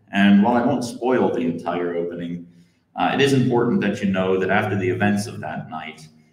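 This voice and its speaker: A man with an American accent talks at a fairly quick pace in a fairly low pitch with ordinary pitch variation, and audible room echo is present. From northeastern Pennsylvania. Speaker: novelist. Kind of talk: author reading introduction.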